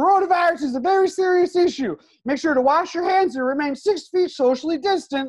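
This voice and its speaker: A put-on character voice at an extremely high pitch moves along at a fairly quick pace. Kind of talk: PSA style announcement. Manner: upbeat, cheerful.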